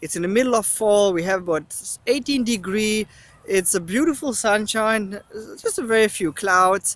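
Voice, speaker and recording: With a German accent, a man speaks at a high pitch and a moderate pace with ordinary pitch variation, captured on a very clean recording with a silent background. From East Germany. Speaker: travel vlogger and researcher. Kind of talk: travel vlog. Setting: outdoors in city.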